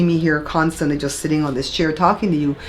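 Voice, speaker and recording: Noticeable background noise runs under this woman's voice. She speaks with a very deep, low pitch and fairly even intonation. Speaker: YouTuber giving content creation tips. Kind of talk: tutorial. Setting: home office. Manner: casual.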